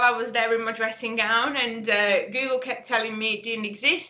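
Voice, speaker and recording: A woman talks at a moderate pace in a Birmingham accent, her pitch fairly high. The room echo is audible. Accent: Brummie. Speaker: webinar presenter, business founder. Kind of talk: webinar presentation. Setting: online webinar.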